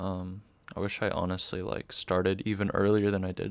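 A man speaks with a fairly low pitch. His pace is moderate. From Boston, Massachusetts. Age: 20s. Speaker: college student and graphic designer. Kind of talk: interview conversation. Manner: hesitant, many fillers.

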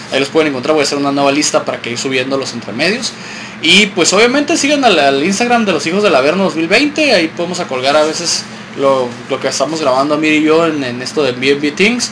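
Over noticeable background noise, a man with a fairly high pitch talks very fast with lively intonation. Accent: Mexican. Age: 30s. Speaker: podcast host. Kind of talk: casual chat.

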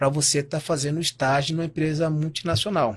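Somewhat breathy speech moves at a fairly quick pace on a very clean recording with a silent background. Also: man. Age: 40s. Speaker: natural bodybuilding champion. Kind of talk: interview conversation.

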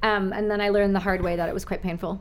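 A woman at a fast pace, medium in pitch, with little pitch movement.

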